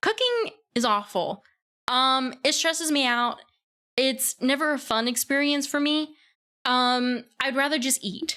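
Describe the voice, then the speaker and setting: A woman with an American accent, high in pitch, with a bright, sharp tone, a raised, projected voice, ordinary pitch variation, very even loudness and a fairly slow pace. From US South. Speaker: vtuber streamer. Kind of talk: casual livestream self-introduction. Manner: hesitant, many fillers.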